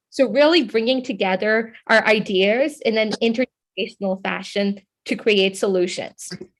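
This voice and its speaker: Moving at a fairly slow pace, a woman talks with an unremarkable speaking voice pitched fairly high. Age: young. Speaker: youth activist, foundation representative. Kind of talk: panel talk. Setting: conference panel.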